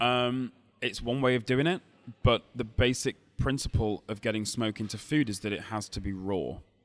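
A man with a Lancashire accent, medium pitch and ordinary pitch variation. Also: moderate pace. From Lancashire, northern England. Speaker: barbecue cook and food expert. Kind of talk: interview. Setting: hotel lobby cafe, recorded live at a food show.

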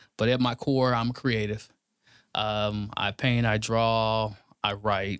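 On a very clean recording with a silent background, a man with an American accent speaks at a very slow pace and very even loudness. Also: medium pitch for a man. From Kansas City, Kansas. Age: 40s. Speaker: podcast guest, artist. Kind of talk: casual chat. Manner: animated.

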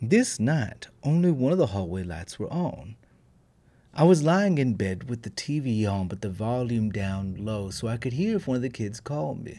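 A man with a warm, playful tone speaks at a moderate pace. His medium pitch makes very wide swings. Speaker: storytelling podcaster. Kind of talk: bedtime ghost story reading, hushed and suspenseful. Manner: warm, playful, chatty in intro and outro.

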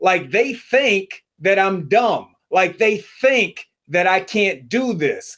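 Ordinary pitch variation runs through this man's high voice. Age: 40s. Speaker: sports journalist. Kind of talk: interview.

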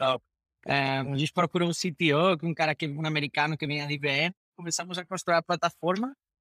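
A man with a Spanish accent speaks at a fairly high pitch and moderate pace, in a bright, sharp tone with ordinary pitch variation. The very clean recording has a silent background and a dry, close sound with no echo. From Spain. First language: Spanish (speaking Portuguese). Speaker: fintech executive. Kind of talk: interview. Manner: halting, repeats words.

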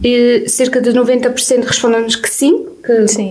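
Amid noticeable background noise and audible room echo, a woman speaks at a high pitch. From Portugal, Viseu district (near Sátão). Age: 20s. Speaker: student radio host. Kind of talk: casual radio chat.

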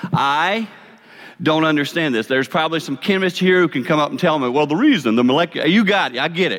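This man speaks very fast in a Southern US accent. His pitch is fairly high, with lively intonation. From South Carolina. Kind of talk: sermon-style talk with radio intro. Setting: chapel with audience.

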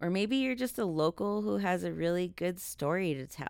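A woman talks with an American accent. The recording is very clean, with a silent background. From Texas, El Paso. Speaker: podcast host. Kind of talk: solo monologue, casual talk to listeners. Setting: home recording.

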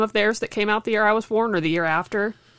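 A woman speaks in a normal speaking voice. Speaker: podcast co-host, student. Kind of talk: casual chat. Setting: at home.

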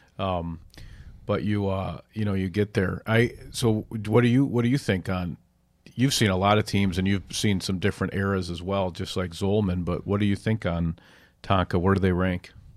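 A normal speaking voice from a man with an American accent, fairly low in pitch, fairly even in intonation, at a moderate pace, in a very clean recording with a silent background. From Minnesota (Edina). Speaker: sports editor and podcast moderator. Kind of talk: casual chat.

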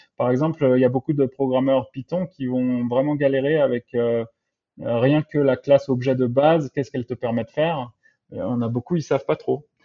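A man of medium pitch speaks in a normal speaking voice. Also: fairly even intonation, moderate pace. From France, childhood abroad in Latin America. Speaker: software engineer. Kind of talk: interview.

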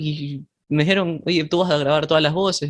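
Speaking at a fairly quick pace, a man with an ordinary speaking voice uses fairly even intonation at a fairly high pitch. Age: 20s. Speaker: indie musician. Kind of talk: casual chat.

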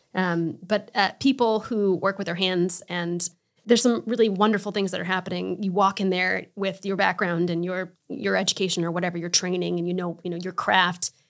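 A woman with an unremarkable speaking voice, medium pitch and fairly even intonation, at a fairly quick pace with hardly any pauses, on a very clean recording with a silent background. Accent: American. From Connecticut. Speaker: art studio manager. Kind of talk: casual interview. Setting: studio.

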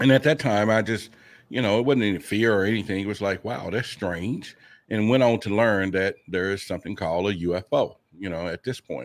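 A man has an unremarkable speaking voice at a fairly low pitch with ordinary pitch variation, at a fairly quick pace. The recording is very clean with a silent background. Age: 50s. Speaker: UFO investigator and podcaster. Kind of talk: interview.

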